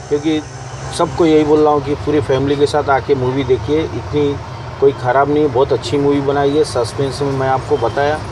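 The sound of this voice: The pace is fairly quick, with little pitch movement. Background noise comes through clearly. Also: man, medium pitch for a man.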